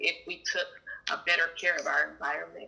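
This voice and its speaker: A woman keeps a moderate tempo while noticeable background noise fills the recording. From Fresno, California. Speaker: climate justice organizer. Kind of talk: interview.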